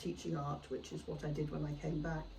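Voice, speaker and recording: A woman's voice carries audible room echo. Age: 70s. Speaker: artist. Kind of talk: podcast interview. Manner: hesitant, many fillers.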